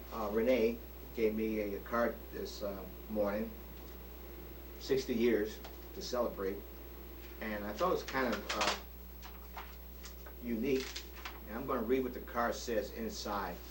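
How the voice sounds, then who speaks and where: Amid noticeable background noise and audible room echo, a man speaks at a moderate pace with long, frequent pauses. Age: 60s. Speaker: retiree recording a birthday video. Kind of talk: personal video diary monologue. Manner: hesitant, many fillers.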